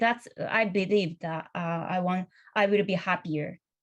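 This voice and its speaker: A woman speaks at a medium pitch and fairly slow pace with ordinary pitch variation. Her voice is somewhat breathy. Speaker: career changer into design. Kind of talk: panel discussion. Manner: halting.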